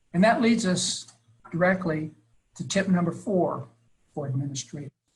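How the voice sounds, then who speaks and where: Here is a man with a high pitch. His pitch variation is ordinary. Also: moderate pace. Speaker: early childhood education expert presenter. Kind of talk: webinar presentation. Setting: webinar.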